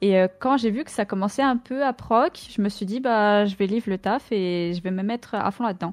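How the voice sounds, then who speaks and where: A woman with a medium pitch speaks at a moderate pace, with hardly any pauses and ordinary pitch variation. The recording is dry and close with no echo against a quiet background. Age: 20s. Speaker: streamer and esports player. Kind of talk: casual chat.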